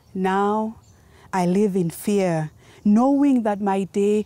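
A woman's dark, mellow tone at a very slow pace, ordinary pitch variation, dry sound with no echo. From Kenya. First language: Gikuyu. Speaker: spoken word poet. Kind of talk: poetry performance. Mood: solemn, impassioned. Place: open country.

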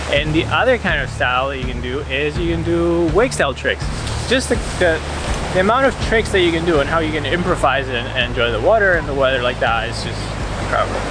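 Very fast speech, dry with no echo, over music in the background. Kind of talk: casual vlog chat. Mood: enthusiastic. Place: beach. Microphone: phone near.

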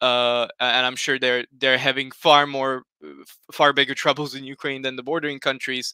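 A man with a Slovak accent speaks at a medium pitch and moderate pace in a bright, sharp tone with monotone, flat intonation. The sound is dry with no echo, over a quiet background. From Slovakia. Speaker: history YouTuber. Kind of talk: panel discussion on livestream. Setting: video call livestream. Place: home room. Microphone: headset.

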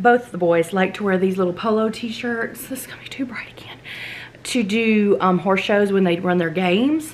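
With a Southern US accent, a woman speaks with lively intonation and big swings in loudness. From US South. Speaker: lifestyle vlogger. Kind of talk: casual chat. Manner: animated. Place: home room. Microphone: camera far.

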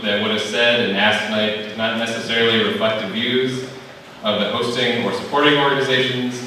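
A man speaks at a fairly quick pace in a room with strong echo. Light background noise is present. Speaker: event volunteer host. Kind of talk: event announcement. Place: hall.

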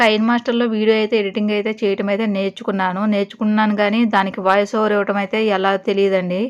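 Her pitch is medium for a woman. She speaks with a monotone, flat intonation. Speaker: vlogger. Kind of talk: vlog voice-over narration.

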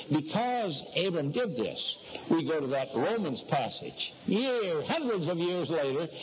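A high-pitched male voice against noticeable background noise. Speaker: preacher. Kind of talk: sermon. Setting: echoey room.

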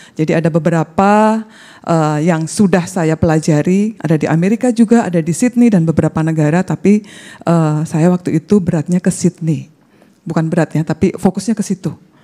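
Speaking at a fairly quick pace, a woman has a fairly low pitch and a dark, mellow tone, with ordinary pitch variation over a quiet background. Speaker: bible college student; speaker. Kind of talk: testimony. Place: hall. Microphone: handheld.

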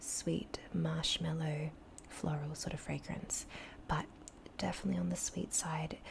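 A soft-spoken woman with a gentle tone at a moderate pace, over noticeable background noise. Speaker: beauty reviewer. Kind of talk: casual vlog chat. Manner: soft-spoken, close-mic, gentle. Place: home room. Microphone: studio mic.

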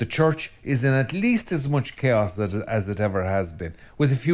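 His intonation is lively. This man speaks with an Irish accent. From Ireland. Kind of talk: religious talk to camera. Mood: calm, earnest. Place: studio.

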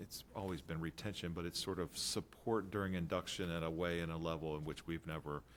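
A man with a very deep, low pitch at a fairly quick pace. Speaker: school system administrator. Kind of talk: board work session presentation. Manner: fast.

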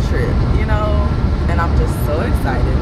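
The pace is moderate, and the sound is dry with no echo. Loud background noise runs throughout. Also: woman. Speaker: vlogger. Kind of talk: casual vlog chat. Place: car. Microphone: phone near.

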